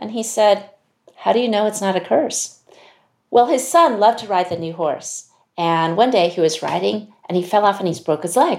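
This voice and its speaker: A woman with an American accent speaks in a plain, everyday voice at medium pitch, keeping a moderate pace and lively intonation. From US (Chinese American). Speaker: CEO of a leadership institute. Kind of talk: interview conversation.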